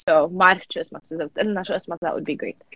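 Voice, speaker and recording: The woman speaks at a fairly slow pace. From US (Lebanese-American, California). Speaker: radio host. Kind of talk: casual radio interview. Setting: radio studio, live broadcast. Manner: animated, code-switching Arabic and English.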